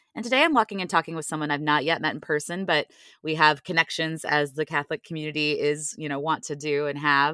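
A woman talks at a very fast pace in a very deep, low pitch, her tone bright and sharp with ordinary pitch variation. The recording is very clean with a silent background and a dry, close sound lacking echo. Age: 40s. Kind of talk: casual faith conversation. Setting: walking while talking.

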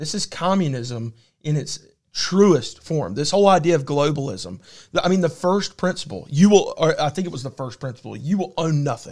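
A man with an unremarkable speaking voice, fairly high-pitched, talks at a moderate pace with lively intonation over a very clean recording with a silent background. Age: 30s. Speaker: podcast co-host. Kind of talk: casual chat.

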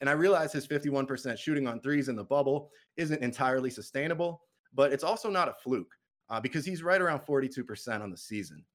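With an American accent, a man speaks at a fairly quick pace in a fairly high pitch, his intonation lively. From Massachusetts, US. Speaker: basketball podcaster and writer. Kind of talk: casual chat.

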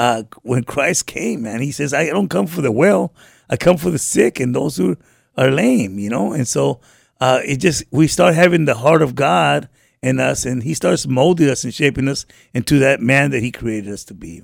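In a very clean recording with a silent background, a man speaks at a moderate pace. His medium-pitched voice has vocal fry and lively intonation. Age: 50s. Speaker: homeless mission program resident. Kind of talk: testimony. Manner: halting.

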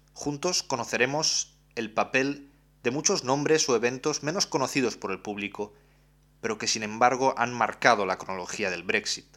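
A man's bright, sharp voice at a medium pitch, with lively intonation, on a very clean recording with a silent background. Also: moderate pace. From Romania, Constanța. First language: Romanian (speaking Spanish). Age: 20s. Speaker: podcast host and journalist. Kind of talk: monologue podcast presentation.

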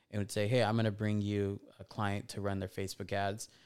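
In a very clean recording with a silent background, a man with a Californian accent talks at a fairly low pitch. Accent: Californian American English. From Southern California (Fontana). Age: 30s. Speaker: entrepreneur and investor. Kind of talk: casual interview.

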